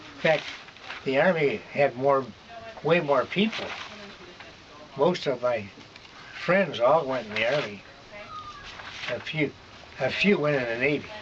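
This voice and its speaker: An American-accented man with a fairly high pitch and lively intonation talks at a fairly slow pace, with long, frequent pauses and noticeable background noise. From Michigan. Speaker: war veteran. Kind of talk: oral history interview answer.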